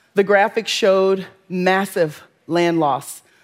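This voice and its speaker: Someone with a Southern Louisiana accent speaks in a very clean recording with a silent background. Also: woman. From US South, Louisiana bayou north of New Orleans. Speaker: environmental justice advocate. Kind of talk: interview and talk excerpts.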